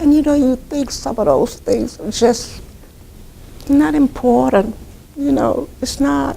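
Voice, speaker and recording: Over noticeable background noise, a woman speaks at a very slow pace, leaving long, frequent pauses. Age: 70s. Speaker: charity volunteer and founder. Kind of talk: interview answer.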